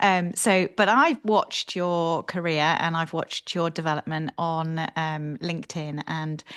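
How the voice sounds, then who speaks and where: A woman with a British accent speaks at a fairly low pitch. The background is quiet. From Britain. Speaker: podcast co-host. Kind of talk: interview. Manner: hesitant, many fillers.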